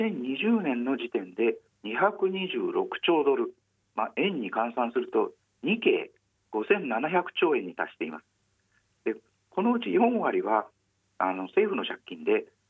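Long pauses come often. The man talks extremely slowly. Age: 50s. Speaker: newspaper journalist. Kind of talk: radio interview. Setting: phone call.

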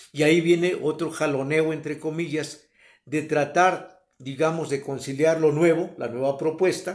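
A man's fairly high-pitched, unremarkable speaking voice at a moderate pace with fairly even intonation. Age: 60s. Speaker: host's father. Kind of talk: interview.

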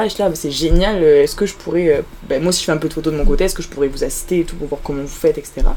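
A woman speaks at a very fast pace with fairly even intonation amid noticeable background noise. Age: young. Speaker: student photographer. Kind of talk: interview. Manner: halting.

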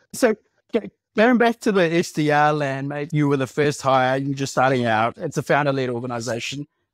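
A man uses a normal speaking voice, fairly high in pitch, at a fairly quick pace with ordinary pitch variation. The very clean recording has a silent background and a dry, close sound with no echo. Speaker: podcast host. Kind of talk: casual podcast interview.

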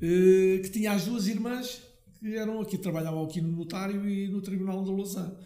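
Noticeable background noise and audible room echo surround a man's voice. He speaks at a high pitch with fairly even intonation. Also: moderate pace. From Portugal, Lousã (central interior). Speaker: family business owner, liqueur maker. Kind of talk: interview, storytelling. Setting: his factory premises.

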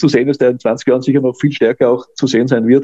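Very fast and monotone, with flat intonation, a man talks in a dark, mellow tone. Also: dry, close sound with no echo. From Austria. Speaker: dog agility judge and trainer. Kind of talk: interview. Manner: halting, many repetitions and fillers.

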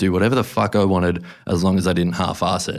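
On a very clean recording with a silent background, a man with an Australian accent talks at a very fast pace in a fairly low pitch. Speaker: podcast host and tattoo artist. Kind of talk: reading aloud; casual chat. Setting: studio.

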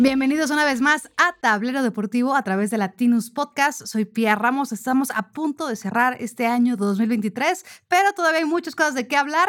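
A woman speaks at a moderate pace in a high pitch, with lively intonation. She hardly pauses at all. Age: 30s. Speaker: sports journalist, podcast host. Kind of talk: casual chat.

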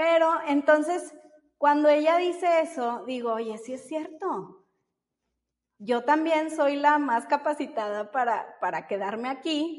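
A woman's high-pitched voice with lively intonation at a very slow pace. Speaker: baker and mother. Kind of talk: interview.

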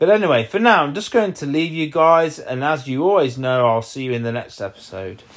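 Speaking in an East Midlands accent at a fairly quick pace with hardly any pauses, a man with a fairly high pitch uses very wide pitch swings. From Leicestershire, England. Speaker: podcaster. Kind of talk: solo podcast update. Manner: hesitant, with frequent fillers.

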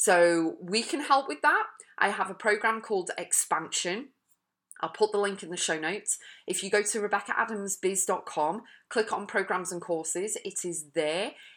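This woman speaks at a moderate pace. Her pitch is medium, with ordinary variation. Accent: English. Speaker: podcast host and life coach. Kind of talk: motivational monologue. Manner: energetic.

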